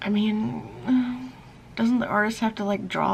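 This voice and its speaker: A woman's moderate-paced speech carries over noticeable background noise. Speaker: vlogger and artist. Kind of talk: casual vlog. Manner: casual, halting with fillers.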